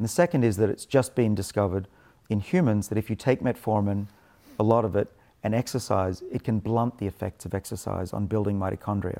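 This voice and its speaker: A man's dark, mellow, fairly low voice, dry and close with no echo, on a very clean recording with a silent background. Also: ordinary pitch variation, fairly quick pace. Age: 50s. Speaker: longevity researcher. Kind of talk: interview.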